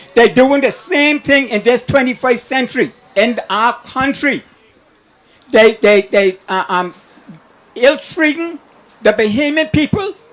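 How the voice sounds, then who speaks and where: Over noticeable background noise, a man with an extremely high pitch talks at a fairly slow pace, using lively intonation and long, frequent pauses. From Bahamas, Long Island. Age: 60s. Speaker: caller. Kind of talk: call-in rant. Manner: animated.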